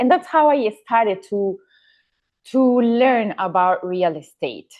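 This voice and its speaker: At a fairly slow pace, a woman speaks with an Ecuadorian accent. Her pitch varies in an ordinary way. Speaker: real estate agent, former cabin crew. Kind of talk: podcast interview. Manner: halting.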